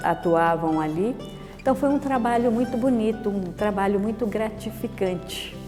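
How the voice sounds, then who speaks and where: Music plays in the background as a woman speaks at a moderate pace with medium pitch and ordinary pitch variation. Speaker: Dominican nun. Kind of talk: oral history interview answer.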